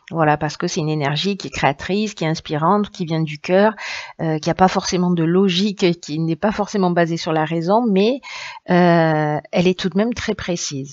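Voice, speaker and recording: In a southern French accent, a woman speaks at a moderate pace with a fairly low pitch and ordinary pitch variation. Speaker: tarot reader. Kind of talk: tarot reading. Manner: hesitant, many fillers.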